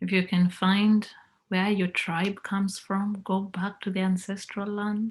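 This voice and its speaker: Her intonation monotone and flat, a woman talks in a somewhat breathy voice. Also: medium pitch for a woman, fairly slow pace. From Kenya. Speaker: motivational speaker. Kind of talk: guided visualisation. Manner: slow.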